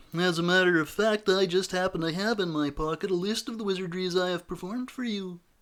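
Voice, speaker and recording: Here is a put-on character voice at a very fast pace with hardly any pauses. The recording is very clean, with a silent background. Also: man, high pitch for a man. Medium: read story.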